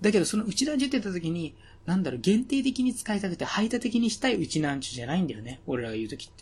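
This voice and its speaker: This man speaks at a very fast pace with a high pitch. Both his pitch and his loudness swing widely, the pitch very much so. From Okinawa, Japan. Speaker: podcast host. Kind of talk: casual chat.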